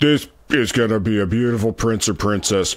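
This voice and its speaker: Using a put-on character voice at a medium pitch, a man speaks at a moderate pace with very even loudness. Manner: tough, matter-of-fact.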